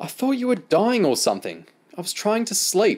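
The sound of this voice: Putting on a character voice, a man speaks high for a man with very wide pitch swings, a slightly husky edge and a slightly mellow tone. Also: moderate pace.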